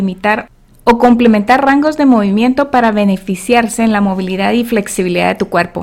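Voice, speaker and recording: A woman with an ordinary speaking voice, fairly high pitch, ordinary pitch variation and a fairly quick pace. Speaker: podcast host and health coach. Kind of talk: scripted ad read; casual interview.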